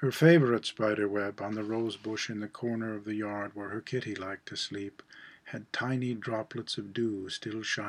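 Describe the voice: Fairly even intonation in plain reading aloud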